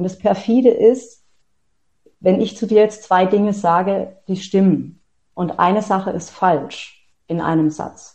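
Somewhat breathy and medium-pitched, a woman speaks very slowly with fairly even intonation and long, frequent pauses. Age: 40s. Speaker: author and self-empowerment coach. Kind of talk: interview.

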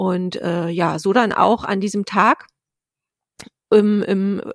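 A woman speaks at a medium pitch. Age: 40s. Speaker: author. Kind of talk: interview.

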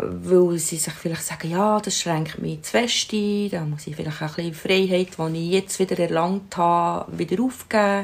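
Speaking with a Swiss accent, a woman with a fairly low pitch keeps a moderate pace and fairly even intonation, with hardly any pauses. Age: 60s. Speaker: grandmother. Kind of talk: interview.

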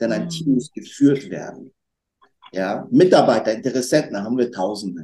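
A man with a medium-pitched voice and vocal fry talks at a moderate pace with lively intonation. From Germany, North Rhine-Westphalia (Lower Rhine area). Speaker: restaurant owner and trained educator. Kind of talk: interview chat. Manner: energetic.

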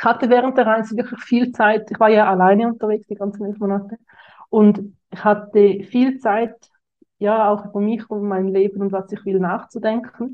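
A woman's fairly high, monotone voice stays flat in pitch but swings widely in loudness. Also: moderate pace. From Switzerland. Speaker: social media coach. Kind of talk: interview.

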